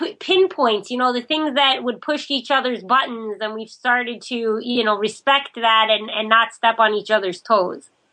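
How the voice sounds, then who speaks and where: This woman has a bright, sharp tone and a high pitch. She talks at a moderate pace with ordinary pitch variation. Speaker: newlywed relationship writer, podcast guest. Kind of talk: interview.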